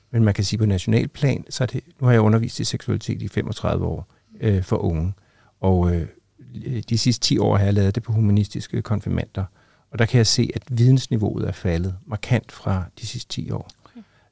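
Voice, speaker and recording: In a dark, mellow tone, a somewhat breathy man speaks with ordinary pitch variation, recorded very cleanly with a silent background and a dry, close sound with no echo. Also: fairly low pitch for a man, moderate pace. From Copenhagen, Denmark. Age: 60s. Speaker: teacher and former HIV activist. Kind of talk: interview testimony.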